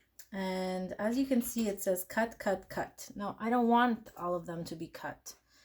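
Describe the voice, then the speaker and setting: A somewhat breathy woman at a medium pitch, fairly slow in pace, with ordinary pitch variation. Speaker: crafting tutorial youtuber. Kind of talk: tutorial. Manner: casual, hesitant with fillers.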